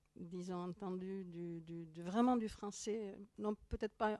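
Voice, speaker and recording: A woman speaks with a Basque accent at a fairly slow pace, with fairly even intonation and medium pitch. Her tone is dark and mellow, and the sound is dry and close with no echo. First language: Basque (speaking French). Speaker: author and professor. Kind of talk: interview. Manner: halting.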